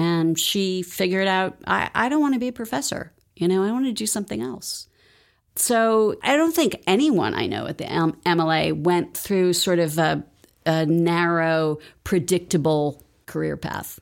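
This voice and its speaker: In a very clean recording with a silent background, a woman with a plain, everyday voice talks at a fairly slow pace, her fairly low pitch carried by lively intonation. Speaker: nonprofit fundraiser. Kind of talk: interview.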